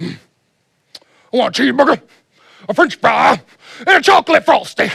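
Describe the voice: A man uses a gruff put-on character voice at an extremely high pitch, with very wide pitch swings and a fairly quick pace.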